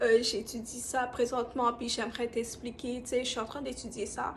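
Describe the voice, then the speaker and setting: A woman talks in a high pitch. Her intonation stays flat and monotone. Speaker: student vlogger. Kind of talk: study tips vlog.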